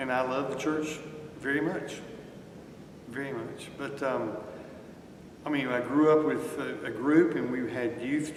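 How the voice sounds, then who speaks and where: Noticeable background noise and audible room echo surround a man who speaks very slowly with a fairly high pitch. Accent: North Carolina. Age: 60s. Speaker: lifelong church member. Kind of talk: interview. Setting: church.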